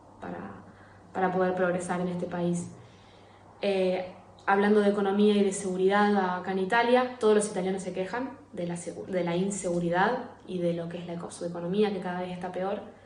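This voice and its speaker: Amid noticeable background noise and audible room echo, a woman speaks fairly quickly at a medium pitch, her intonation flat and monotone but her loudness swinging widely. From Argentina, Rosario. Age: 20s. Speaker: emigrant sharing her experience. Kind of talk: recorded testimony. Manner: hesitant, many fillers and repeats.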